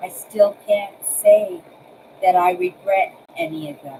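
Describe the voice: A woman speaks slowly at a medium pitch, her dark, mellow tone carrying a husky, rough edge, vocal fry and big pitch swings.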